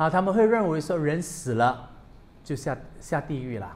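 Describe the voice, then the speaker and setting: This man has a fairly high pitch. His voice moves in very wide pitch swings. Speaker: Buddhist monk; Buddhist monk teacher. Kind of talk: dharma talk. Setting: temple with audience. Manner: bilingual code-switching. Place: hall. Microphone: studio mic.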